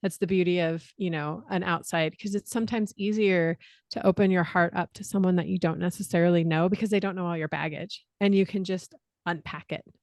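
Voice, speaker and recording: A woman's unremarkable speaking voice with a General American accent, fairly quick and fairly even in intonation, dry and close with no echo over a quiet background. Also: fairly low pitch for a woman. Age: 40s. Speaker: musician and reinvention coach. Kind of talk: casual podcast conversation.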